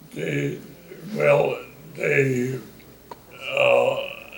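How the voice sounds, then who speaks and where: A man speaks with noticeable background noise in the recording. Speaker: WWII Navy veteran. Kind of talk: interview answer. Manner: hesitant, halting, repeating words.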